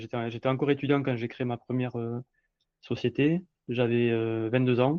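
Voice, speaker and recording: This man's intonation stays fairly even while he talks at a moderate pace. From southwestern France (Montauban). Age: 40s. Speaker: entrepreneur. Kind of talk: podcast interview. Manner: halting, many fillers.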